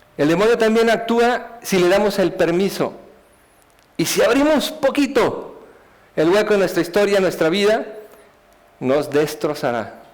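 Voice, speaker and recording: Long, frequent pauses amid noticeable background noise. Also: man, high pitch for a man. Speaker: speaker giving a life testimony. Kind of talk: testimony talk. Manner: halting, many repetitions.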